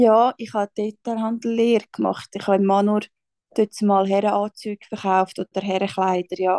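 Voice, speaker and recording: A woman speaks with a dark, mellow tone in a monotone, flat intonation. The sound is dry and close, with no echo. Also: medium pitch for a woman, moderate pace. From Switzerland. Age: 20s. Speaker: social worker and small business founder. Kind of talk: casual chat.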